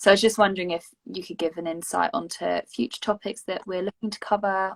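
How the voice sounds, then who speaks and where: A woman with an English accent speaks at a fairly quick pace and medium pitch with ordinary pitch variation. The sound is dry and close, with no echo. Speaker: youth education project member hosting session. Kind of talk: casual panel discussion.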